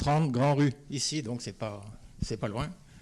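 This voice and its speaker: The pitch varies in an ordinary way. The recording is very clean, with a silent background. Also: man. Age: 80s+. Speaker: retired chemist, evacuation witness. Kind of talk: interview testimony.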